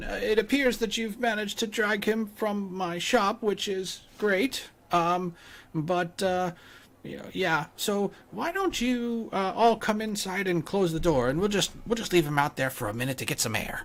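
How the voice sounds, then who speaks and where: At a moderate pace, a man uses a put-on character voice at a high pitch. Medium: actual play. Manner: stammering, hesitant, apologetic.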